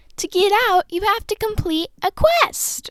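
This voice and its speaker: In a put-on character voice, a woman talks fairly slowly in an extremely high, squeaky pitch. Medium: read story. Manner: feisty.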